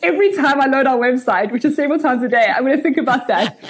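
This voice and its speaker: A woman's high-pitched voice, animated in tone, with lively intonation and noticeable background noise. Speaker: startup founder and CEO. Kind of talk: casual interview conversation. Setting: video call. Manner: fast talker; animated, chatty.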